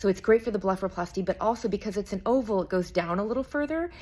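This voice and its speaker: Lively intonation in a woman's speech. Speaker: private recovery nurse. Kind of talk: casual tutorial vlog. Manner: fast.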